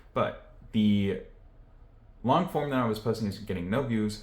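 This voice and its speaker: A man speaks at a medium pitch and a moderate pace. Some room echo can be heard. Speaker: YouTuber vlogger. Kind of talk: casual vlog talk to camera. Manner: monotone; low-energy, reserved.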